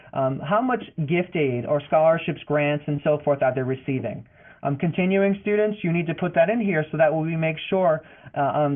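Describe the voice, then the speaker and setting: A man with a Boston accent, fairly high in pitch, at a fairly quick pace. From Boston, US. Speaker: financial aid advisor. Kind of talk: webinar presentation. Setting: online webinar. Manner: fast.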